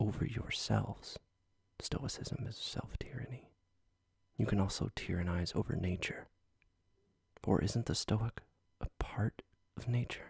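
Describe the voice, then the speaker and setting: Everything is whispered. The delivery moves fairly slowly. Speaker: ASMR reader. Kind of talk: ASMR philosophy book reading. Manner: soft-spoken.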